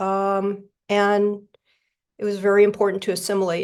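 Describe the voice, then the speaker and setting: A woman speaks with an American accent and a medium pitch. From South Florida, US. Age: 60s. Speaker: recovery meeting speaker. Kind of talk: testimony. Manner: halting.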